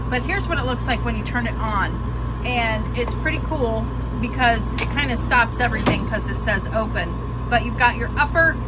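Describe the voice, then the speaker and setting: Loud background noise fills the recording. Over it, a woman talks at a moderate pace. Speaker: home cooking vlogger. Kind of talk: casual vlog chat. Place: kitchen. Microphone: phone near.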